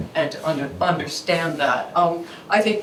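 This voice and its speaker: Her voice is fairly low-pitched, with ordinary pitch variation and a fairly slow pace. Noticeable background noise and audible room echo surround the woman. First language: Japanese. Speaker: conservator. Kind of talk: symposium presentation. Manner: halting, many repetitions.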